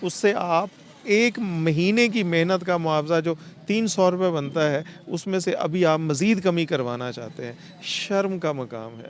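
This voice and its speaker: A man speaks with a high pitch and lively intonation. Noticeable background noise sits behind him. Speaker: street interviewer and host. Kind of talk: emotional street report to camera.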